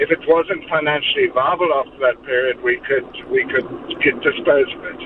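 Noticeable background noise runs under a voice that moves at a moderate pace. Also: man. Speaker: retiree, charity head. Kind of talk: radio call-in. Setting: phone call. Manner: formal.

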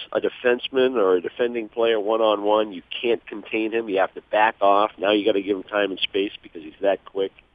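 With an American accent, a man speaks in an unremarkable speaking voice at a fairly quick pace and fairly low pitch, with ordinary pitch variation and big swings in loudness. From Boston area. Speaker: hockey broadcaster and former player. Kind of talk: phone interview.

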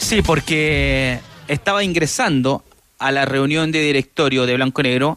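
Speaking at a fairly slow pace, a man with an ordinary speaking voice and a fairly high pitch keeps his loudness very even and his pitch variation ordinary. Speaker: sports reporter. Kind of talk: field report.

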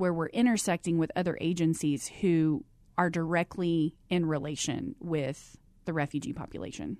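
A woman with an American accent at a moderate pace. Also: quiet background. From Texas, Abilene. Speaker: nonprofit executive and counselor. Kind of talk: interview.

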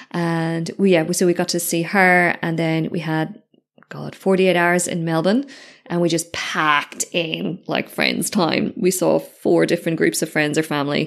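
On a very clean recording with a silent background, a woman with an Irish accent and a fairly low pitch speaks at a moderate pace. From Ireland. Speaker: podcast host and business mentor. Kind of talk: casual solo reflection. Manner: animated.

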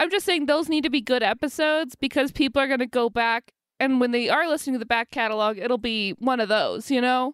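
A woman's high voice at a very fast pace with hardly any pauses, very even loudness and ordinary pitch variation, in a very clean, dry, close recording with no echo and a silent background. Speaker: podcast host. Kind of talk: casual banter.

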